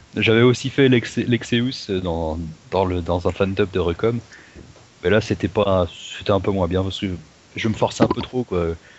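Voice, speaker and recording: Over noticeable background noise, a man with a fairly low voice and ordinary pitch variation speaks at a moderate pace with long, frequent pauses. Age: 20s. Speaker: voice acting hobbyist. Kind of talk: casual chat.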